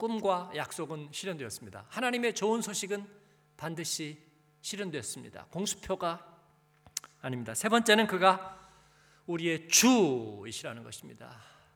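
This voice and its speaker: A man with a high pitch talks at a moderate pace, with very wide pitch swings, big swings in loudness and long, frequent pauses. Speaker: pastor. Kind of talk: sermon. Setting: church. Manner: animated, preacherly, addresses congregation.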